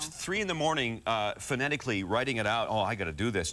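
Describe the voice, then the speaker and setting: A man speaks at a very fast pace with lively intonation and a medium pitch. Noticeable background noise runs underneath. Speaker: voice actor. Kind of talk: interview answer.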